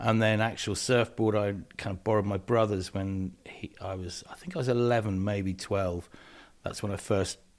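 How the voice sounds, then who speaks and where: On a very clean recording with a silent background, a man with a West Country accent and a fairly low pitch speaks at a moderate pace with fairly even intonation. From southwest England (Devon, edge of Dartmoor). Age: 60s. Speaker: environmental activist. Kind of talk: interview. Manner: hesitant, many fillers.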